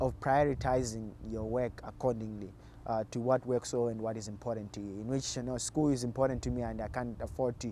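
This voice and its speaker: At a fairly quick pace, a man with a Zimbabwean accent speaks in a medium pitch with a dark, mellow tone and fairly even intonation. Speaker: college cross country runner. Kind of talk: interview. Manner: halting, many repeated words.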